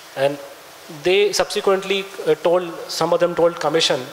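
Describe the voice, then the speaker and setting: Amid noticeable background noise, a man speaks in a high voice with a Punjabi accent. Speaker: author and researcher, guest speaker. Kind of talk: lecture. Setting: lecture hall with audience. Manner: halting, many fillers and restarts.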